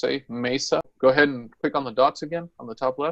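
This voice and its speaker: In a dry, close sound with no echo, a man with a normal speaking voice talks at a moderate pace and a fairly high pitch, with fairly even intonation. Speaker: software trainer. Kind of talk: tutorial.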